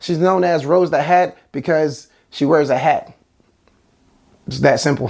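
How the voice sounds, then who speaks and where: A man with a fairly high pitch and vocal fry speaks with ordinary pitch variation and long, frequent pauses. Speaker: movie reviewer. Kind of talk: video review. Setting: at home, near a sleeping child's room. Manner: fast.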